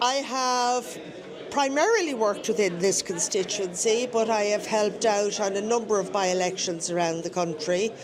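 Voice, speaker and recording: In a Dublin accent, the speaker talks at a moderate pace with ordinary pitch variation. There is audible room echo and noticeable background noise. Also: woman, medium pitch for a woman. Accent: Dublin Irish. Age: 60s. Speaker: election tally volunteer. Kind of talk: live radio interview.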